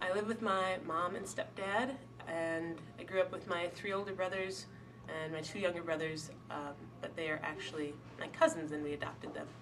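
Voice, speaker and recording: Through noticeable background noise, a woman speaks at a fairly low pitch. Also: ordinary pitch variation, moderate pace. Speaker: college student. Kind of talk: interview testimony. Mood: calm, reflective. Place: hall. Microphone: camera far.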